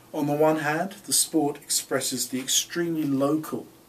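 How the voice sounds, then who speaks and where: A man speaks at a fairly slow pace in a London accent, his pitch fairly high with ordinary variation. Noticeable background noise runs behind him. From England, London. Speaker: professor. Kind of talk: course introduction lecture. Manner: formal.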